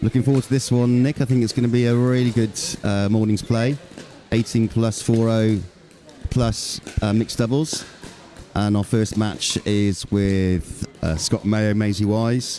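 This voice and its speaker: Music plays in the background as a man speaks at medium pitch. His pace is fairly slow and his intonation fairly even. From England, Bristol. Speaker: sports commentator. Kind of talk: live commentary. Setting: courtside at a tennis centre. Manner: hesitant with fillers.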